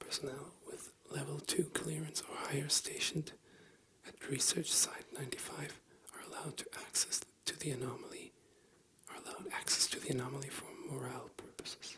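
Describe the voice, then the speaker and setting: Whispered at a fairly quick pace, the speech has big swings in loudness over noticeable background noise. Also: man. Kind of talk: ASMR bedtime reading. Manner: soft-spoken.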